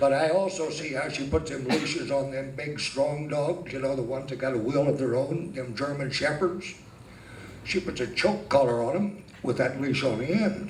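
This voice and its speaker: Someone with an American accent speaks at a moderate pace with ordinary pitch variation, and there is audible room echo along with noticeable background noise. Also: man, fairly high pitch for a man. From Northern California. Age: 70s. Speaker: amateur stand-up comedian. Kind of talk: stand-up. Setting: stage with audience.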